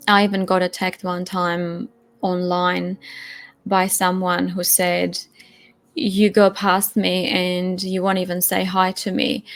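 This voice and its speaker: A woman with a non-native accent speaks at a medium pitch. Her pace is very slow and her intonation flat and monotone. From Europe, non-English-speaking. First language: not English. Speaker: testimony guest. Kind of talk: personal testimony. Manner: halting, with repetitions.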